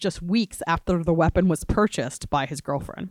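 A woman with an American accent talks at a fairly quick pace in an ordinary speaking voice, her pitch fairly low. The sound is dry and close with no echo, on a very clean recording with a silent background. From Florida. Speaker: civil rights lawyer.

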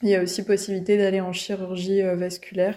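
Over a quiet background, a woman at medium pitch speaks in a dark, mellow tone with monotone, flat intonation. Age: 20s. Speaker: medical resident. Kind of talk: interview. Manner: hesitant, many fillers and repetitions.

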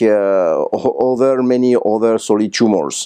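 Against a quiet background, a dark, mellow voice speaks with a French accent. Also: man. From France. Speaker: radiation oncologist. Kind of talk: conference interview summary. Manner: halting, many fillers.

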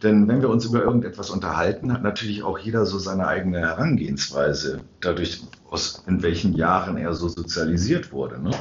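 A man speaks at a fairly quick pace in a very deep, low pitch. His intonation is lively, and audible room echo surrounds him. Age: 60s. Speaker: church council member and podcast co-host. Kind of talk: casual chat. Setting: sacristy of a church.

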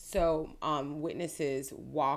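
A woman with a very deep, low voice, ordinary pitch variation, and an American accent. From Florida, Clearwater. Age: 30s. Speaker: attorney. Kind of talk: interview. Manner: halting.

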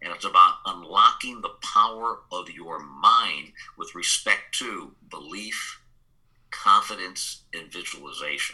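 Big swings in loudness mark this man's speech, delivered at a fairly slow pace. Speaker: business growth consultant and speaker. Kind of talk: interview.

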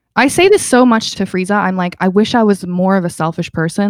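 Medium pitch and ordinary pitch variation from a woman with a Canadian accent, at a fairly quick pace in a dry, close sound with no echo. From Calgary, western Canada. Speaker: DJ and radio founder. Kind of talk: casual interview. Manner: talkative, animated.

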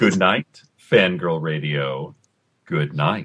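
A man puts on a character voice, very deep and low in pitch, speaking very slowly with fairly even intonation. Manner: warm, polished sign-off.

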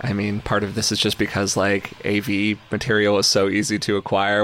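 A man speaks with a fairly low pitch. His pace is fairly quick. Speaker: podcast host and author. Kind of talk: interview conversation.

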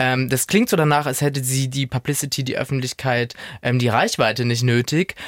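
Using a medium pitch and fairly even intonation, a man talks at a fairly quick pace. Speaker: podcast co-host. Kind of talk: casual chat.

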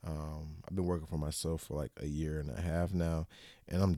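A man's very deep, low, dark and mellow voice with an American accent, fairly quick pace and fairly even intonation on a very clean recording with a silent background. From Florida, US South. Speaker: photographer. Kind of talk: casual interview chat.

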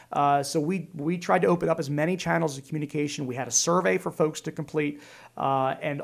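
Ordinary pitch variation in a Pennsylvania accent. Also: man. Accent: Pennsylvania American. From Pennsylvania, Lancaster County. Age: 40s. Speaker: state senator and army veteran. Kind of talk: interview conversation.

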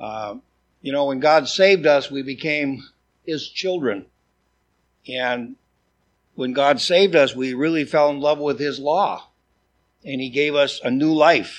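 With an American accent, a man speaks at a fairly slow pace in a fairly high pitch, leaving long, frequent pauses. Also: ordinary pitch variation. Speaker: preacher. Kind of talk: sermon. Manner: hard to understand.

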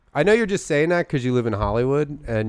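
Against a quiet background, a man speaks with a slight Philadelphia accent and ordinary pitch variation. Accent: light Philadelphia. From Philadelphia area, US. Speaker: comedy podcast co-host. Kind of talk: casual chat. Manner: animated.

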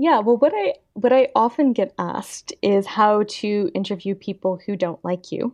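With a Canadian accent and an unremarkable speaking voice, a woman at a fairly high pitch talks at a moderate pace with hardly any pauses and ordinary pitch variation, in a dry, close sound with no echo. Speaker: magazine editor and author. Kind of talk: interview.

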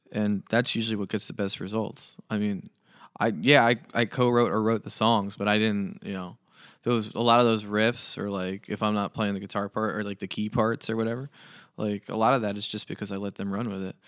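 Speaking at a fairly quick pace with an American accent, a man with a fairly low pitch keeps a monotone, flat intonation, and the sound is dry and close with no echo in a very clean recording over a silent background. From New Jersey. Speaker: singer-songwriter. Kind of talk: casual interview chat. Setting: studio. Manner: thoughtful.

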